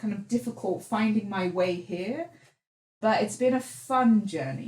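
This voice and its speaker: Speaking fairly slowly with lively intonation and vocal fry, the voice carries a British accent. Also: woman. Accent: British-sounding English. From England, raised from age 2 to 11, then Netherlands. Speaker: entrepreneur. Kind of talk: podcast interview. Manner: animated.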